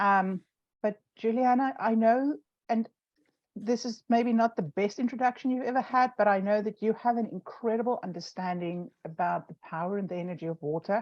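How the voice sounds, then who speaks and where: A woman with a South African accent speaks at a moderate pace and a fairly high pitch. Her ordinary pitch variation comes through in a dry, close sound with no echo. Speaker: online show host. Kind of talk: casual chat. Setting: live stream video call.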